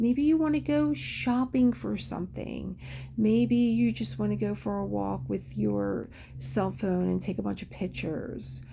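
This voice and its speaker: A woman speaks fairly slowly in a very deep, low voice with a dark, mellow tone. Her pitch swings very widely. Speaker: craft and self-care video host. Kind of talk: casual talk while painting.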